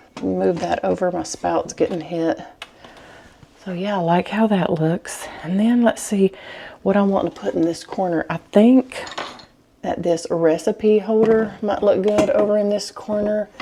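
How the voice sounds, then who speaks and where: A soft-spoken woman with a Southern US accent talks at a fairly slow pace in a medium pitch with ordinary pitch variation, over noticeable background noise. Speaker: home decor vlogger. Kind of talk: decorating tutorial. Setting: at home in her kitchen. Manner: casual.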